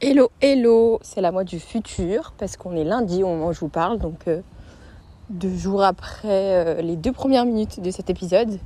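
A woman speaks with a medium pitch and ordinary pitch variation. Her pace is fairly slow. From Paris, France. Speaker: podcaster. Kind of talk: casual solo podcast monologue. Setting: recording at a friend's home in Lille. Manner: hesitant, many fillers.

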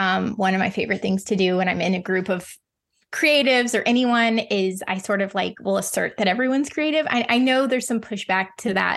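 A woman with a plain, everyday voice and an American accent talks at a fairly quick pace, her fairly high pitch showing ordinary variation against a quiet background. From US Midwest (Ozarks). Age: 30s. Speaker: painter. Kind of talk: casual interview chat.

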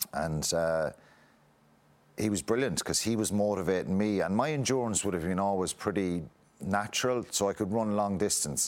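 A man's fairly low voice with a Munster Irish accent, ordinary pitch variation, and a moderate pace, in a very clean recording with a silent background. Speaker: former rugby player. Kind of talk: interview.

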